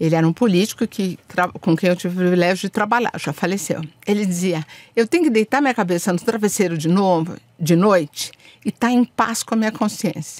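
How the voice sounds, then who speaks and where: At a fairly quick pace, a woman talks at a medium pitch with ordinary pitch variation, in dry, close sound with no echo. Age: 60s. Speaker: diplomat. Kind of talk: podcast interview. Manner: animated.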